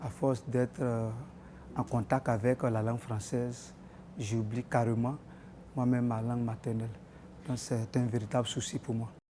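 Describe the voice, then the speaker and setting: This man has a medium pitch, a dark, mellow tone and fairly even intonation. He talks at a moderate pace with long, frequent pauses. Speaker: interviewee in street poll. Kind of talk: vox pop interview.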